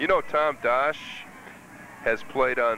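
An enthusiastic male voice at a fairly slow pace, with ordinary pitch variation and noticeable background noise. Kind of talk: color commentary, analyst talk during live game. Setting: press box at stadium. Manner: conversational, analytical, enthusiastic.

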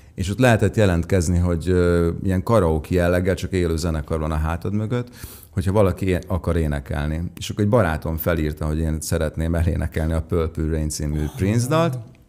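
Talking at a fairly quick pace, a man with a very deep, low pitch shows ordinary pitch variation. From Hungary. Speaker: singer-songwriter; guest. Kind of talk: interview. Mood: warm, enthusiastic storytelling. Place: studio. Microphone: studio mic.

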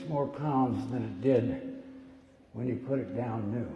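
A man talks at a very slow pace with ordinary pitch variation. The room echo is audible. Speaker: pastor. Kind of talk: sermon. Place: church. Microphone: podium.

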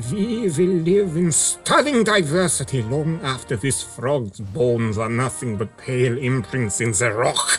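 The man delivers his words fairly slowly. Music is clearly heard behind him. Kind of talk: grand oratory. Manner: pompous, then threatening.

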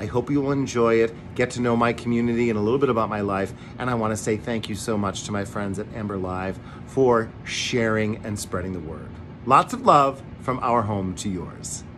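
Music plays in the background as a man speaks. He keeps a moderate pace and ordinary pitch variation. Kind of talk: casual promotional greeting. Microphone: phone near.

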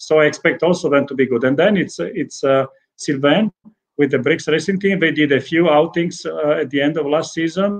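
A man with an Italian accent and a fairly high pitch speaks at a moderate pace with ordinary pitch variation against a quiet background. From Italy. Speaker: racing team sporting director. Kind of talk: interview. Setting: remote video call. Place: home room. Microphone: video call.

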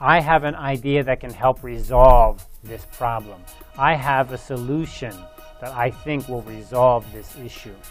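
Faint music plays behind a man who speaks at a fairly slow pace with fairly even intonation. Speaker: university professor. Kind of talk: lecture. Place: studio.

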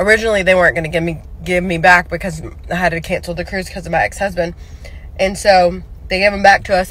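A woman's fairly low pitch, monotone and flat in intonation, with dry sound and no echo. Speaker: vlogger. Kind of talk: casual vlog chat. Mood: relaxed, chatty. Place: car. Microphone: phone near.

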